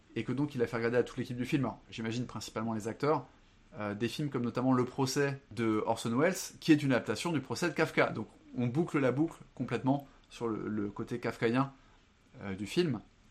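Set against a quiet background, a man's medium-pitched voice moves at a fairly quick pace with ordinary pitch variation. He takes long, frequent pauses. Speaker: film and book podcast guest. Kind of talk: casual chat. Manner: halting.

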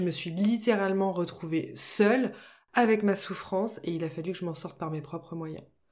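Her voice is a plain, everyday voice, a woman's, with ordinary pitch variation. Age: 30s. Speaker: podcast host and business coach. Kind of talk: solo podcast monologue. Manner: friendly and relaxed.

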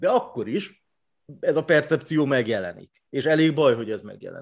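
A man with a plain, everyday voice speaks at a moderate pace with fairly high pitch. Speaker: sports journalist. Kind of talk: casual chat.

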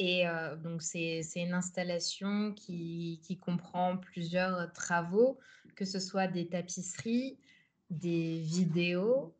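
Speaking at a very slow pace, a woman uses fairly even intonation in a somewhat breathy, fairly low-pitched voice. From France, Paris suburbs. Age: 20s. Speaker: art student and artist. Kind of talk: interview. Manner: halting, many hesitations.

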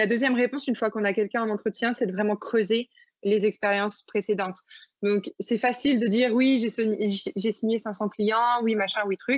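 Delivered in a normal speaking voice, the speech has fairly even intonation and very even loudness. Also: woman, fairly high pitch for a woman, moderate pace. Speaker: startup founder. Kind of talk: interview.

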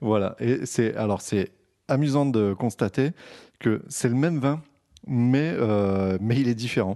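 Against a quiet background, a man speaks at a very slow pace with long, frequent pauses, his dark, mellow tone held at medium pitch with ordinary pitch variation and very even loudness. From Provence, southern France. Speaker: wine podcast co-host. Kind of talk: casual chat.

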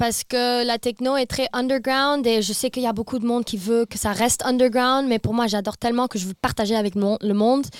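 A woman speaks at a fairly quick pace with hardly any pauses, in a dry, close sound with no echo. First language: not French (speaking French). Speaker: TikTok influencer and DJ tour manager. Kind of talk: casual chat. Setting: studio, around a table. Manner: halting, mixes in English words.

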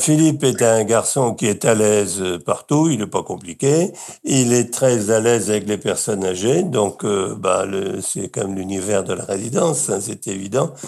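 A man's dark, mellow voice at medium pitch, with lively intonation and a fairly slow pace. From Brittany, France. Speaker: retirement home resident. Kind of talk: interview testimony.

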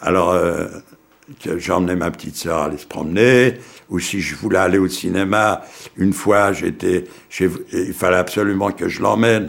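Long, frequent pauses at a fairly slow pace with ordinary pitch variation. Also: man, very deep, low pitch for a man. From Poland, raised in Paris from age 9. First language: Yiddish (speaking French). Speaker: Holocaust survivor. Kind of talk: testimony. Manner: halting, hesitant.

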